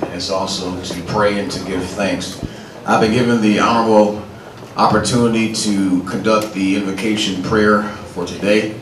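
Monotone, flat intonation from a man with fairly low pitch, moderate pace, noticeable background noise. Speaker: pastor. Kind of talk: invocation prayer at a public event. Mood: solemn, reverent. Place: hall.

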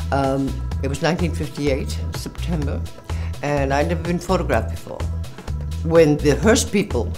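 There is clear music behind the speech. A woman talks over it at a moderate speed. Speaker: fashion model. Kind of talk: interview answer. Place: studio.

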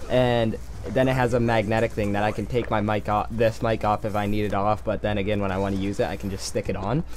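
Light noise in the background behind a man speaking. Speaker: gaming video creator. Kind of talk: casual vlog chat. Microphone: headset.

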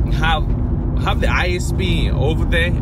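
A man talks over loud background noise, his voice dry with no echo. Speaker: network engineer vlogger. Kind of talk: casual vlog chat. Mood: relaxed, cheerful. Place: car. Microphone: phone near.

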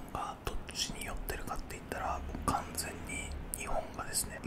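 Soft-spoken and whispering, a man talks at a moderate pace over loud background noise. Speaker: streamer. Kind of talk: casual vlog chat. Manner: soft close-mic ASMR whisper. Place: home room. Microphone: studio mic.

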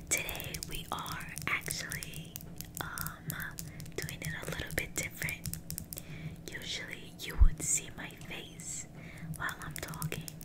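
Against loud background noise, a woman speaks at a fairly slow pace with long, frequent pauses. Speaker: ASMR creator. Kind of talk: ASMR haul video, casual talk to camera. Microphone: studio mic.

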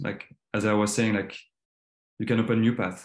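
A man with a French accent speaks at a fairly low pitch. Some room echo is audible over a quiet background. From western France. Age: 30s. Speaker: designer. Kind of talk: presentation. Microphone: video call.

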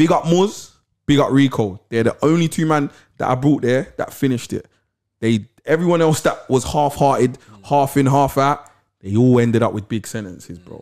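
Someone with a London accent speaks at a moderate pace with ordinary pitch variation and big swings in loudness over a quiet background. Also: man. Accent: London Multicultural English. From London, Camden/Lewisham. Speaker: podcast co-host. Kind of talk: casual interview chat. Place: studio. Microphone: studio mic.

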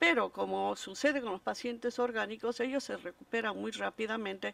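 The sound is dry, with no echo. A woman talks at a moderate pace with ordinary pitch variation. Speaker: psychiatric hospital physician, state representative; witness. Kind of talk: formal testimony. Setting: public hearing. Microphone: podium.

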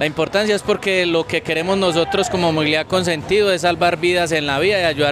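A man with a high-pitched voice speaks at a fairly quick pace, with ordinary pitch variation, very even loudness, dry sound with no echo and noticeable background noise. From Colombia. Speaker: traffic authority official. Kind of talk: interview statement. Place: street. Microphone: handheld.

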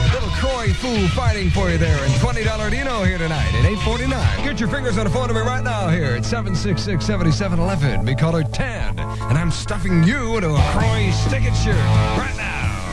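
Over loud background music, a man talks at a fairly quick pace with hardly any pauses, in a dry sound with no echo. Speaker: radio DJ. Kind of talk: radio station aircheck, DJ patter. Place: studio. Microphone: old recording.

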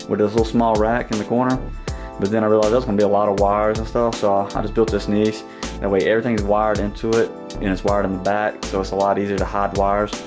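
A man's very fast, fairly low-pitched speech with fairly even intonation over clear background music. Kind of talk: casual vlog tour. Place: home room. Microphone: phone near.

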